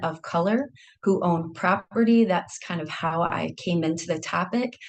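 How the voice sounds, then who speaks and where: Fairly low in pitch with ordinary variation, a woman speaks at a fairly slow pace. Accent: Michigan. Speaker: historian. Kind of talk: academic seminar talk.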